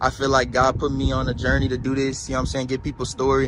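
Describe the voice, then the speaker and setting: A man at a medium pitch talks at a very fast pace, with noticeable background noise behind him. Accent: American. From New Orleans. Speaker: street interviewer. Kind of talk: street interview.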